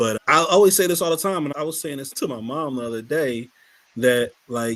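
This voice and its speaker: A man's speech moves fairly quickly. He uses lively intonation. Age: 40s. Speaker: podcast co-host. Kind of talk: casual chat. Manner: halting.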